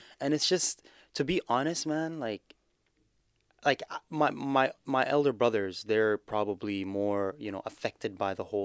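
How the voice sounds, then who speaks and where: With a normal speaking voice, a man of medium pitch talks at a fairly slow pace with ordinary pitch variation, in a dry, close sound with no echo. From Canada (Guelph, Ontario); born in Somalia. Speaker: a cappella nasheed singer. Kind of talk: casual interview chat. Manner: laid-back, casual.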